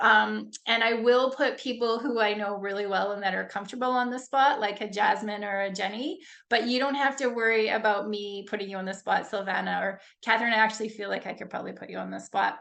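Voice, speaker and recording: Speaking very fast with hardly any pauses, a woman has a fairly high pitch and a bright, sharp tone against a quiet background. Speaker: leadership coach. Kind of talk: webinar presentation. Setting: video call. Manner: informal, upbeat.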